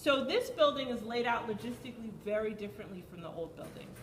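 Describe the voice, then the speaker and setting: A woman with lively intonation, heard through audible room echo and noticeable background noise. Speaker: PTA meeting leader. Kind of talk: community meeting talk. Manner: loud.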